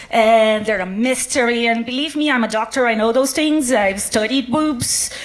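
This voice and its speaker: With a Brazilian accent, the speaker uses lively intonation at a moderate pace. Noticeable background noise is present. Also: woman. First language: Portuguese. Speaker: doctor doing science comedy. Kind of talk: stand-up. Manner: halting, many fillers.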